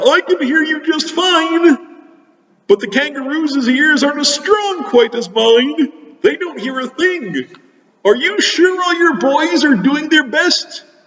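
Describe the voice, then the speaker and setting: A man puts on a character voice with an extremely high pitch. He talks at a fairly slow pace. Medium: read story.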